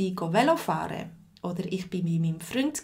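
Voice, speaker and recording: Her voice comes through somewhat breathy. The speaker is a woman. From Switzerland. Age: 40s. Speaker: language teacher. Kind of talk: live lesson. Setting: livestream.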